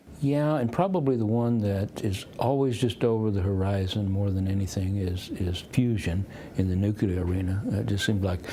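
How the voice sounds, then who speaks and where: With audible room echo behind him, a man speaks at a moderate pace and a fairly low pitch, using ordinary pitch variation and hardly any pauses. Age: 60s. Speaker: economist and futurist. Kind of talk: interview. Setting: conference.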